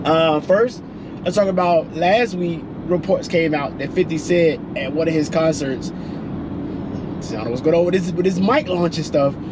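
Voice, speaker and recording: Pausing long and often, a man speaks at a moderate pace with ordinary pitch variation. Noticeable background noise runs underneath. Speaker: vlog host. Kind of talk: casual vlog chat. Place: car. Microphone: phone near.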